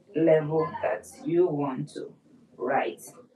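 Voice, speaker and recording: The woman talks at a very slow pace in a fairly low pitch. Noticeable background noise runs behind her. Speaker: music teacher. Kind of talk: lecture. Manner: repetitive.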